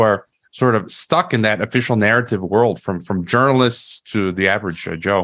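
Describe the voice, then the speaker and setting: On a very clean recording with a silent background, a man speaks with an American accent. His intonation is lively and his pace fairly quick. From United States. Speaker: podcast host. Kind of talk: interview conversation. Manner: halting, frequent fillers and repetitions.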